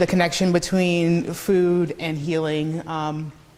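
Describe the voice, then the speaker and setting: A woman's voice, fairly low in pitch. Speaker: health food business owner. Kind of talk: public talk.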